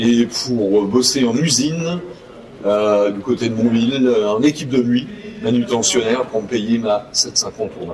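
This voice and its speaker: The pace is fairly slow, with ordinary pitch variation. Noticeable background noise runs underneath. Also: man, medium pitch for a man. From Normandy, France. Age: 60s. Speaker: motorcycle dealer and former racer. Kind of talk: interview.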